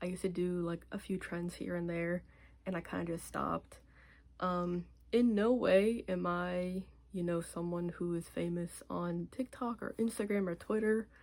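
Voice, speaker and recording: A woman speaks at a moderate pace. Her pitch is fairly low. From US, rural Pennsylvania. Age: 20s. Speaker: vlogger, navy veteran. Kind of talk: casual vlog introduction. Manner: casual, hesitant with fillers.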